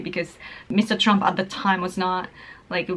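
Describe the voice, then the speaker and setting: A woman speaks with a Japanese accent. Background noise is noticeable. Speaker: political YouTuber and writer. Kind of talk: casual talk to camera. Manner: mumbling, hesitant.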